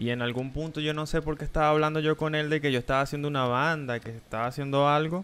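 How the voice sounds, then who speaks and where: A man races along at a very fast pace with hardly any pauses. His voice is fairly high, and his intonation stays fairly even. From Venezuela. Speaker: streamer and interviewer. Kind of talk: casual interview chat. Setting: live stream video call. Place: home room. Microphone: headset.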